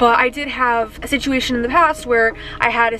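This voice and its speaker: A woman with a fairly high pitch speaks while music plays in the background. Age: 20s. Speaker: real estate agent. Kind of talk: vlog. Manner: casual.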